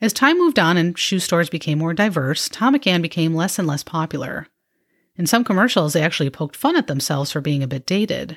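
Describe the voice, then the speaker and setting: In an American accent, a woman with a fairly low voice and a warm tone talks at a very fast pace with lively intonation, on a very clean recording with a silent background. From suburban Chicago, US Midwest. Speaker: podcast host. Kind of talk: scripted narration, nostalgic retrospective. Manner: conversational, warm, nostalgic.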